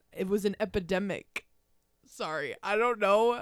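Fairly even intonation marks a woman speaking with an American accent. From US Northeast (Long Island, New York). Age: young. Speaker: podcast host. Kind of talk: casual chat. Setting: home recording setup with handheld mics. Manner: fast.

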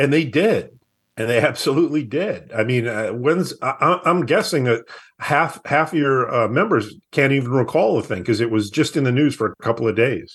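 This man talks at a moderate pace with an American accent. His voice has a slightly husky edge. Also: medium pitch for a man, lively intonation.

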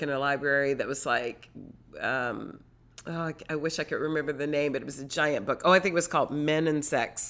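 Speaking at a fairly quick pace, a woman with a very deep, low pitch comes through on a very clean recording with a silent background. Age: 40s. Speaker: podcast host and yoga teacher. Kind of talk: solo monologue podcast.

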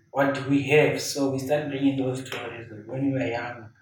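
A man talks at a moderate pace in a medium pitch. Noticeable background noise sits behind him. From Zimbabwe. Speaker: painter. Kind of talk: interview. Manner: halting.

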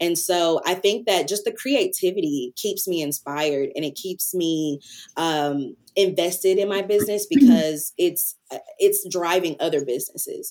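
At a moderate pace, a woman with an American accent talks at a medium pitch with ordinary pitch variation. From US South, Antioch near Nashville, Tennessee. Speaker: creative agency founder and farmer. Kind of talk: casual interview. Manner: hesitant with fillers.

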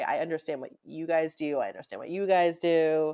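A woman speaks with an American accent and a dark, mellow tone. The recording is very clean, with a silent background. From Newton, Massachusetts (Boston area). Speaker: TV comedy writer. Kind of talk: casual interview.

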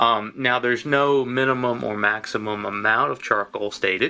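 A man's bright, sharp voice in a Tennessee accent, fairly slow, with ordinary pitch variation. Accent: US Southern (Tennessee). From Tennessee (Lynchburg). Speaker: whiskey distiller. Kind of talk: interview. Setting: distillery office.

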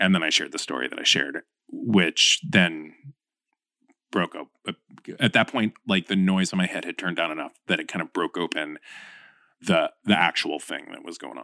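A man with an American accent speaks at a moderate pace in an animated tone. His loudness swings widely, and he leaves long, frequent pauses. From Florida, US. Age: 40s. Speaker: podcast host and communications lead. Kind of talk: casual interview chat. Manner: animated, jokey.

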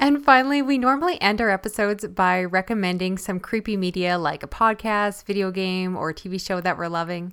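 A woman with a Canadian accent talks at a fairly quick pace with hardly any pauses, in a medium pitch with ordinary pitch variation. It is an ordinary speaking voice, on a very clean recording with a silent background. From Canada. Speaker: podcast host. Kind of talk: casual interview.

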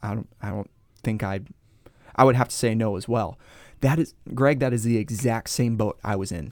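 A man's medium-pitched, unremarkable speaking voice at a moderate pace with ordinary pitch variation, in a very clean recording with a silent background. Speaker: pastor. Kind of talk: casual teaching conversation.

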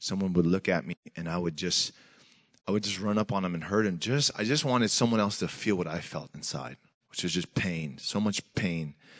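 Intonation rises and falls in a lively way, with a Pacific Northwest accent. The background is quiet. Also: man. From US Pacific Northwest (Tacoma, Washington). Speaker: senior pastor, guest preacher. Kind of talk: sermon. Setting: church with congregation.

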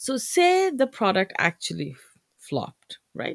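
In a dry, close sound with no echo, a woman speaks with a Bengali accent. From Bangladesh. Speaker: podcast host, entrepreneur. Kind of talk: solo podcast monologue, business tips. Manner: casual, many filler words.

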